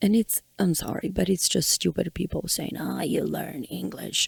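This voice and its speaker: With a Ukrainian accent, a woman speaks in a dry, close sound with no echo. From Ukraine. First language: Ukrainian or Russian. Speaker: podcast host. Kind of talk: personal monologue.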